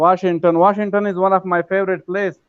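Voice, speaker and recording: Here a man speaks with an Afghan accent. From Afghanistan. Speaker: English learner, participant in online class. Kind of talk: casual chat.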